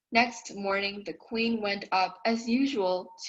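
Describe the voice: The reading aloud is plain, and the intonation stays fairly even.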